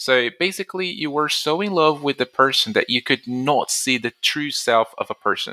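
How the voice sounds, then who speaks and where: Bright and sharp in tone, the voice carries a Portuguese accent with lively intonation, a moderate pace and hardly any pauses, recorded dry and close with no echo, very cleanly against a silent background. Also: man, fairly high pitch for a man. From Brazil. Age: 20s. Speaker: language teacher. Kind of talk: language lesson.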